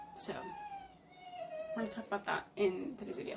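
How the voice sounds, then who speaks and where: This clip features a woman speaking. Noticeable background noise is audible. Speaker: YouTuber. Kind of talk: vlog talk to camera. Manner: halting, many fillers.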